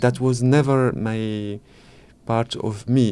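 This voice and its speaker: A man with an Arabic accent. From Morocco. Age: 40s. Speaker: writer and filmmaker. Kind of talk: interview.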